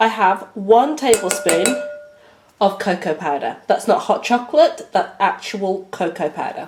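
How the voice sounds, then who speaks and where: Over noticeable background noise, the voice carries a British accent, moves at a fairly slow pace and makes very wide pitch swings. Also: woman, medium pitch for a woman. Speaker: baking tutorial host. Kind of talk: tutorial.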